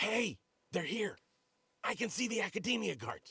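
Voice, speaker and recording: Putting on a character voice, a man speaks raspy and high-pitched in a raised, projected voice at a moderate pace. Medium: video game.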